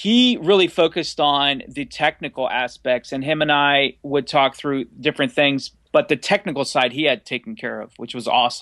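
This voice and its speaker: A man with an American accent, fairly high in pitch, bright and sharp in tone, with lively intonation, a moderate pace and hardly any pauses, in a very clean recording with a silent background and a dry, close sound with no echo. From US Mid-Atlantic, near Washington DC. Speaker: independent filmmaker. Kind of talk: casual interview. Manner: animated.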